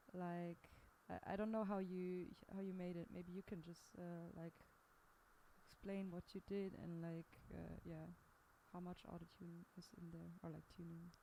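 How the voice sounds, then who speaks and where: Long pauses come often. The woman talks at a fairly slow pace. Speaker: singer. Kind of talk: casual chat about a song.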